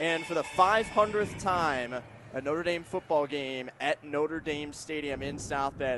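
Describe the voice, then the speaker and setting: A man with a fairly high pitch and a plain, everyday voice speaks at a fairly slow pace with ordinary pitch variation. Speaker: sports play-by-play announcer. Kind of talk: radio broadcast open.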